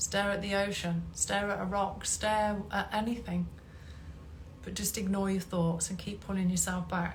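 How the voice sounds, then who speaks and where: Some audible room echo surrounds a woman with a medium pitch who speaks at a moderate pace with fairly even intonation. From England. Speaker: hypnotherapist and meditation teacher. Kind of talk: live stream talk. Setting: Instagram live stream.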